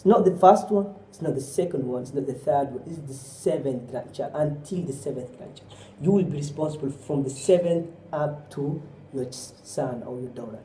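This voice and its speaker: A man with a Somali accent speaks at a moderate pace and a fairly high pitch, with ordinary pitch variation and big swings in loudness. Audible room echo and noticeable background noise surround him. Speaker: Islamic preacher. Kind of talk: sermon.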